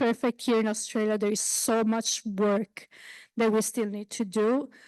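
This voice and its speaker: A woman's fairly high voice in an Italian accent, dry and close with no echo, against a quiet background. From Italy. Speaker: basic researcher. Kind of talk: panel discussion. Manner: halting.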